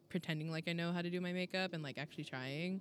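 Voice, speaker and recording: A woman speaks fairly quickly in a Californian accent with fairly even intonation. The recording is very clean, with a silent background. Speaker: podcast co-host. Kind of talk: casual chat. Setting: in-person recording together.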